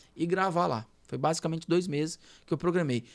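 On a very clean recording with a silent background, a man with a São Paulo accent speaks at a moderate pace and a fairly high pitch. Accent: Paulistano. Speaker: radio host. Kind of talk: casual chat.

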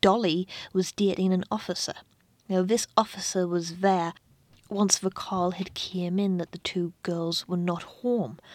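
With a British accent, a woman speaks at a moderate pace and medium pitch, recorded dry and close with no echo. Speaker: true crime podcaster. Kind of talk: true-crime narration. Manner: grave, measured storytelling; conversational, with asides and fillers.

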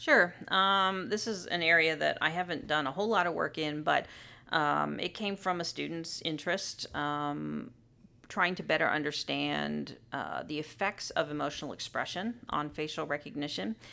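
The recording is very clean, with a silent background. A woman speaks at a moderate pace with an American accent. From US, Southern California. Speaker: psychology professor. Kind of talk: interview. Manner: frequent filler words (um, uh).

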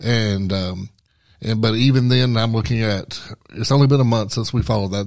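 In a very clean recording with a silent background, a man with an unremarkable speaking voice and a fairly low pitch talks at a moderate pace with fairly even intonation. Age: 40s. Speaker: professional wrestler. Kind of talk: casual chat. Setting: studio.

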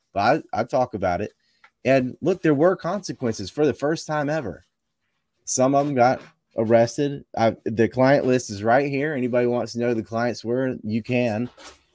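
With a plain, everyday voice, a man of medium pitch speaks at a moderate pace with ordinary pitch variation, in a very clean recording with a silent background and a dry, close sound with no echo. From US East Coast. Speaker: independent researcher and filmmaker. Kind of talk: panel discussion.

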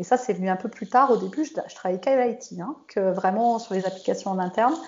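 A woman speaks at a moderate pace with a fairly high pitch and ordinary pitch variation. She has an unremarkable speaking voice. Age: 40s. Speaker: software developer and IT lead. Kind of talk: casual interview.

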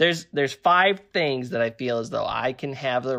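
A man with an unremarkable speaking voice, lively intonation and a fairly quick pace against a quiet background. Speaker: co-host. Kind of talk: casual chat. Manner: interrupts often, talks over.

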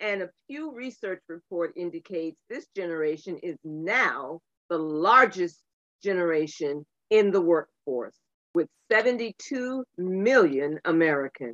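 A woman with a normal speaking voice, fairly low in pitch, with lively intonation and a fairly slow pace. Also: big swings in loudness. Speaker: panelist reading introduction. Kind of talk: reading aloud.

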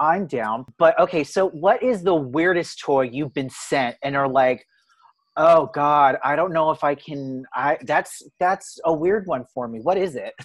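With an unremarkable speaking voice, a man talks at a fairly slow pace in a fairly high pitch with ordinary variation, against a quiet background. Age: 20s. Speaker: podcast host. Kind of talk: casual interview chat.

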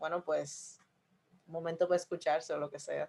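A woman with a fairly low pitch talks over a quiet background. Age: 20s. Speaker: podcast co-host. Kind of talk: casual chat.

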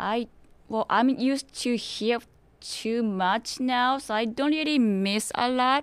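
Speaking very slowly with a Japanese accent, a woman uses a fairly high pitch and ordinary pitch variation. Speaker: interview guest. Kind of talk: interview.

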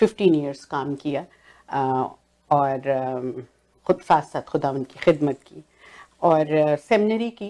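A woman with lively intonation and big swings in loudness, in a very clean recording with a silent background. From Pakistan, Punjab (Okara). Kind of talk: religious panel discussion.

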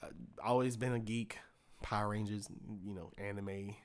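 The recording is very clean and the background silent. A man speaks at a moderate pace. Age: 20s. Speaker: actor. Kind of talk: casual chat.

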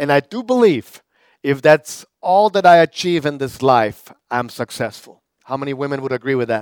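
In a German accent, a man with a fairly high pitch speaks at a moderate pace with lively intonation, the sound dry and close with no echo. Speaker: pastor. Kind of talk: sermon. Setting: church with live audience, also streamed online.

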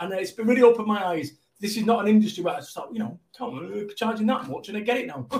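A man with a Mancunian accent speaks very fast in a high voice, his pitch moving in an ordinary way. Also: big swings in loudness. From Manchester, England. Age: 50s. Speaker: motivational business speaker. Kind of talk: casual interview. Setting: live video stream. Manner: high-energy.

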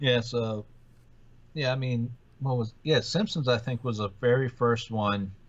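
The voice is somewhat breathy and the pace fairly slow. Intonation stays fairly even. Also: man, medium pitch for a man. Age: 40s. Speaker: podcast co-host. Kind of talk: casual chat.

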